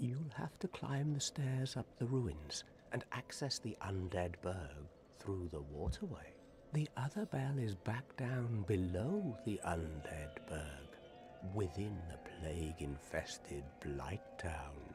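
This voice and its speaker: A man uses a put-on character voice at a fairly low pitch. He speaks at a fairly slow pace over clear background noise. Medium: video game. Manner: sardonic, world-weary.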